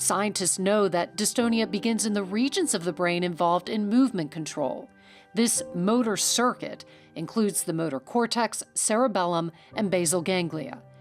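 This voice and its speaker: With music playing in the background, a woman talks using lively intonation. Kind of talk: documentary narration.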